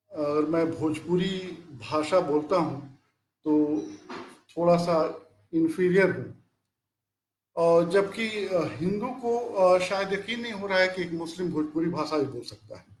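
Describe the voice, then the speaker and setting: This man's high voice has ordinary pitch variation and big swings in loudness, with audible room echo around it. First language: Bhojpuri (speaking Hindi). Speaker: professor. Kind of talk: lecture. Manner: halting, frequent fillers.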